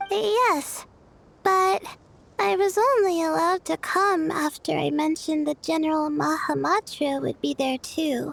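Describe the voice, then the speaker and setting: In a put-on character voice, the speaker uses a high pitch at a moderate pace. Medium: video game.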